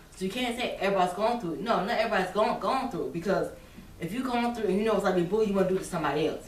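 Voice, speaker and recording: A woman speaking at a very fast pace, with noticeable background noise and audible room echo. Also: medium pitch for a woman, ordinary pitch variation. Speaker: vlogger. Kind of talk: casual monologue. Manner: halting.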